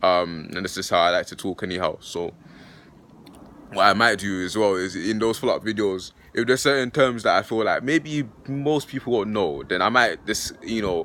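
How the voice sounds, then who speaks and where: Speaking at a moderate pace, a man with a fairly low pitch uses a bright, sharp tone and lively intonation on a very clean recording with a silent background. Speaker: philosophy YouTuber. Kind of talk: casual vlog talk. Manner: halting, many fillers.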